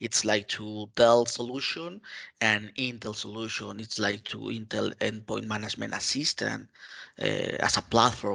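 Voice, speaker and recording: This man has a Mexican accent. He speaks at a fairly slow pace. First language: Spanish. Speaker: IT community contributor. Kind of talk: interview. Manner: halting, many fillers.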